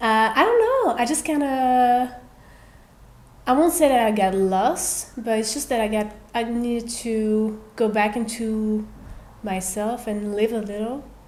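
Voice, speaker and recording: Audible room echo surrounds a voice that moves at a fairly slow pace with ordinary pitch variation. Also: woman, fairly high pitch for a woman. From Belgium, Brussels. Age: 30s. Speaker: singer. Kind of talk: casual chat. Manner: calm.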